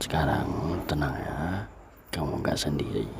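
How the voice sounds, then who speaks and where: Noticeable background noise fills the clip. A man whispers very slowly through it. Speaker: ASMR creator. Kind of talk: ASMR romantic boyfriend roleplay. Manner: soft-spoken, comforting.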